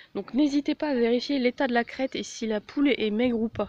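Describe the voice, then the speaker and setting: The voice shows ordinary pitch variation, captured as a dry, close sound with no echo. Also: woman. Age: 20s. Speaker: animal-care vlogger. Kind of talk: informal tutorial. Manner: hesitant, many fillers.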